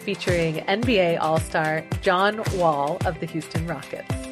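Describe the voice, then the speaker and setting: A woman's fairly low voice at a fairly slow pace, with ordinary pitch variation and music in the background. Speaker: podcast host. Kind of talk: podcast interview host.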